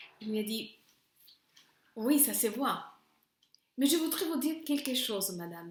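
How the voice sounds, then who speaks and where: With a Spanish accent, a woman speaks very slowly at a fairly high pitch and with lively intonation. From Honduras. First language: Spanish (speaking French). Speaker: teacher. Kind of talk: lesson with personal story.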